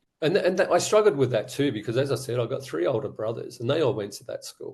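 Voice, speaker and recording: A man speaks with an Australian accent. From Australia, Sydney. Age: 60s. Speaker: abuse survivor and advocate. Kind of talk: testimony.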